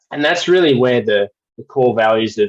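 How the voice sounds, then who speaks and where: With a strong Australian accent, a man speaks at a medium pitch. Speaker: well services company representative. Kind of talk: webinar presentation. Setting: video call webinar. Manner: repetitive false starts.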